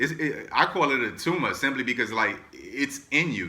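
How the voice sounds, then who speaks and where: This man has a bright, sharp tone. He speaks in a New York accent. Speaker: entrepreneur and motivational vlogger. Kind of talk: motivational talk. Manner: fast; casual, filler-heavy.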